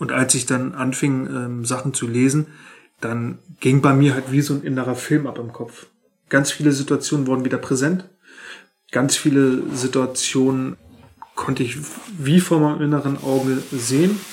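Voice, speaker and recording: Fairly even intonation and a moderate pace come with long, frequent pauses, with music in the background. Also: man, medium pitch for a man. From northern Germany, Schleswig-Holstein. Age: 30s. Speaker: childcare worker. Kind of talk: interview. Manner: halting, many fillers.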